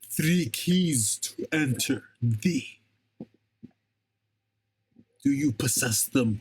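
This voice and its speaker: Speaking in a put-on character voice, a man sounds guttural and fairly high-pitched, going at a very slow pace with long, frequent pauses. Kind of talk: archaic, formal.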